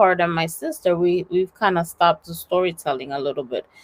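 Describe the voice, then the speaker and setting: The speaker is a woman with an American accent. Her pitch varies in an ordinary way. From US, Dominican family. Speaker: faith podcast co-host. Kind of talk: casual chat. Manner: hesitant, many fillers.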